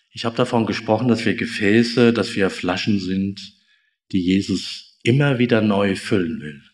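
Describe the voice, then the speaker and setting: Audible room echo surrounds a man whose fairly low voice moves at a fairly slow pace with fairly even intonation. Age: 50s. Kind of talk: sermon. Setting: church service, also streamed on Zoom.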